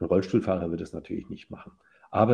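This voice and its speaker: A man's very deep, low voice with a dark, mellow tone and ordinary pitch variation. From Franconia, Germany (Ansbach). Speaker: professor, psychologist and architect. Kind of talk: interview conversation.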